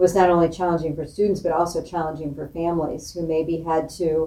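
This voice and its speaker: Over noticeable background noise, a woman with an American accent talks at a fairly low pitch with monotone, flat intonation. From Springfield, Illinois, US Midwest. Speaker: school superintendent. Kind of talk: interview.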